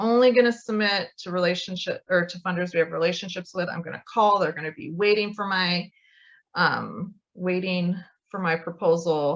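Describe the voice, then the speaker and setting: In an unremarkable speaking voice at medium pitch, a woman talks at a moderate pace with ordinary pitch variation and big swings in loudness. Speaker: grant writing consultant. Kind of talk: online training presentation.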